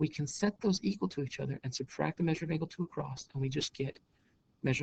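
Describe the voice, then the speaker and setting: With a somewhat breathy voice, a man rattles off his words at a very fast pace. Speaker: math teacher. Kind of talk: lecture. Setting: recorded on a laptop.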